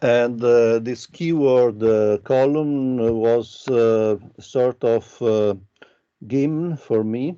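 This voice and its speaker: The voice has a dark, mellow tone and ordinary pitch variation. It moves at a very slow pace. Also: man, medium pitch for a man. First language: Italian. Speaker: architecture professor. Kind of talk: lecture. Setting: video call. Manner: halting, many fillers.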